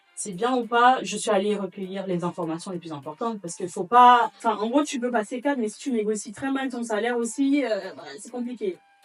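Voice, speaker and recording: Over noticeable background noise, a woman with a fairly high pitch talks at a fairly quick pace with hardly any pauses, ordinary pitch variation and big swings in loudness. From Gabon, Libreville. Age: 30s. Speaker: real estate litigation lawyer. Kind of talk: interview. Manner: halting.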